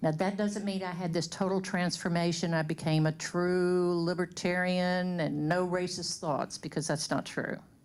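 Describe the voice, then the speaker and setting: A woman with a Louisiana accent speaks at a moderate pace in a fairly low, flat monotone. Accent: Southern US (Louisiana). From US South, Shreveport, Louisiana. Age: 60s. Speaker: community speaker. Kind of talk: personal testimony to an audience.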